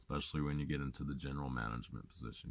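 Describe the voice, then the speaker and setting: A man speaks here. His voice is very deep and low-pitched. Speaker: vlogger and hiker. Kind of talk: personal vlog monologue. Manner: halting, stumbling over words.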